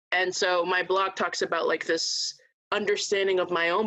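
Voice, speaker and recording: A woman is speaking. Her pace is moderate. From Port Chester, Westchester, New York, Dominican family. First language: Spanish. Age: 20s. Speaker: nonprofit worker and activist. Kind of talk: podcast interview, personal storytelling.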